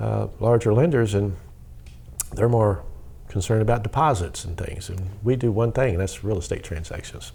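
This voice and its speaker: Amid audible room echo, a man with a slight Southern US accent and a fairly low pitch uses ordinary pitch variation and takes long, frequent pauses. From US South. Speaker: mortgage lender. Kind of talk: interview. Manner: fast when excited.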